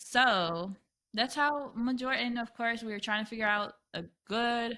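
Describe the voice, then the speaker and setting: A woman with a North Carolina accent speaks fairly slowly in a bright, sharp tone with a fairly high pitch and ordinary variation. The recording is very clean with a silent background. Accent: picked-up North Carolina. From San Diego, California. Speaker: podcast co-host. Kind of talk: casual chat.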